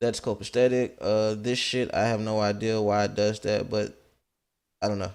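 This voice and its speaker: A man has a plain, everyday voice at a medium pitch. He speaks at a moderate pace on a very clean recording with a silent background. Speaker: Twitch streamer. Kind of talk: casual tutorial talk to camera. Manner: casual, profane.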